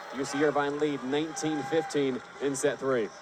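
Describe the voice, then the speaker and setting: Noticeable background noise accompanies a man whose intonation is monotone and flat. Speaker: volleyball play-by-play announcer. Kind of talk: live sports play-by-play commentary.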